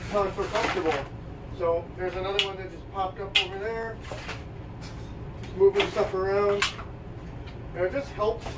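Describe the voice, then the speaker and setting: Noticeable background noise sits behind a man speaking at a moderate pace. He takes long, frequent pauses. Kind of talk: tutorial. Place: home room. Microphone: camera far.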